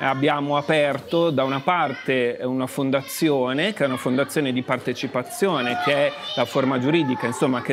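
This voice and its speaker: A man's ordinary pitch variation comes over clear music in the background. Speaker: guest. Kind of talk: interview answer. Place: bar. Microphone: lapel.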